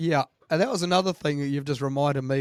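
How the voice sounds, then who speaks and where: A man speaks with a New Zealand accent and a fairly high pitch. The sound is dry and close, with no echo. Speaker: podcast host. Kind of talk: casual interview chat.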